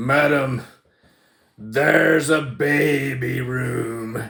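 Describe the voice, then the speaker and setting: Speaking very slowly in a put-on character voice, a man sounds raspy at medium pitch with fairly even intonation. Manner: theatrical, dramatic.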